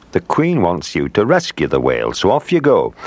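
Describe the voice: Using a put-on character voice, a man speaks low with a slightly mellow tone and very wide pitch swings. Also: moderate pace.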